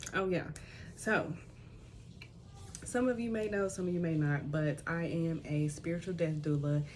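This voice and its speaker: A soft-spoken woman talks at a moderate pace in a fairly low, somewhat breathy voice. Room echo is audible. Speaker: tarot reader and spiritual death doula. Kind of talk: spiritual reading. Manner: casual, conversational. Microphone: small microphone unreliable, voice quiet.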